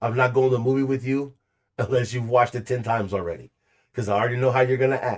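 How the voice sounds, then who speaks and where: A man's animated voice at a very fast pace over a quiet background. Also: medium pitch for a man. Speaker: podcast co-host telling a story. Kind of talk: casual storytelling chat. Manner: loud.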